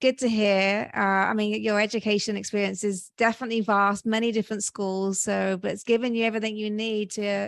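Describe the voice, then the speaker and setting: A woman speaks in a British accent at a medium pitch. Her delivery is fairly quick and flat, in a monotone. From Britain. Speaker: podcast host. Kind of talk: podcast interview.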